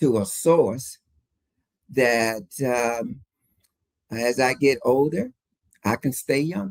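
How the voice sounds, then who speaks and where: At a very slow pace, a man speaks with long, frequent pauses. His voice sits at a medium pitch with ordinary pitch variation. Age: 70s. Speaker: fitness enthusiast and interview guest. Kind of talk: casual interview chat. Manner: halting, many fillers.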